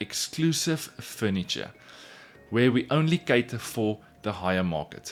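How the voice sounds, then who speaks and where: A man's medium-pitched voice in a South African accent, fairly slow with lively intonation. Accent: Afrikaans South African. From South Africa, Pretoria. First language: Afrikaans. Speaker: woodworker and furniture maker, YouTuber. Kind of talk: casual vlog narration.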